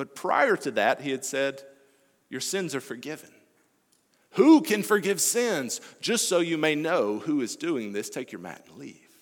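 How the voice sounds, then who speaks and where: A man with an American accent speaks at a fairly slow pace in a fairly high pitch, using vocal fry. His pitch swings very widely and his loudness shifts a lot. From US South, Alabama. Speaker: missionary preacher. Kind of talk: sermon.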